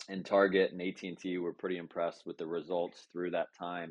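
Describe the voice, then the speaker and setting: In an American accent, a man with a very deep, low voice talks at a moderate pace in a monotone, flat intonation. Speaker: business executive. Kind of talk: casual chat. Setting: audio chat room.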